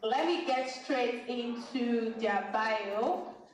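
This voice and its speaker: There is audible room echo as a woman speaks in a fairly high pitch. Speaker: panel moderator. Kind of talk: conference panel introduction. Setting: stage with audience. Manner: hesitant, many fillers.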